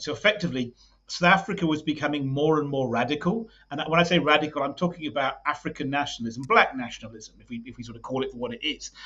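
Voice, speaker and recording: A man with a British accent, a fairly high pitch, lively intonation and a very fast pace. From UK. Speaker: political party leader. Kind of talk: podcast interview. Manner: halting, many repetitions.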